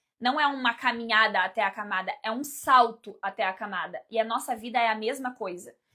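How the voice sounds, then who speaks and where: In a very clean recording with a silent background, a woman with a Brazilian accent talks at a fairly quick pace with hardly any pauses, in an animated, bright, sharp tone, fairly high in pitch with ordinary pitch variation. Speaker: life coach and mentor. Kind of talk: live stream talk to viewers. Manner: fast.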